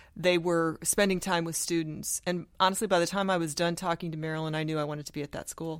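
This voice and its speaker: A woman with an American accent talks very fast in a monotone, flat intonation at a fairly low pitch. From US Midwest (Sioux City, Iowa). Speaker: school district administrator. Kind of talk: interview.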